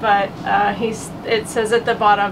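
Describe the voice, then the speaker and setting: Noticeable background noise sits behind a woman with an Oklahoma accent. Her pitch is fairly high and her pace fairly slow. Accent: Oklahoma, US South. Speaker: relationship coach, podcast co-host. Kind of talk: casual chat.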